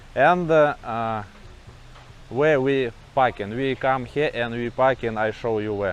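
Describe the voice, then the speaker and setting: A man speaks at a fairly slow pace with medium pitch and ordinary pitch variation, leaving long, frequent pauses. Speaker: travel vlogger. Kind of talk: casual vlog narration. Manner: halting.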